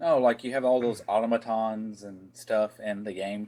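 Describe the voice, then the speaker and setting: Against noticeable background noise, a man with a Southern accent talks at a fairly low pitch. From Tennessee, US South. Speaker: podcast co-host, gaming news. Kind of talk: casual news chat.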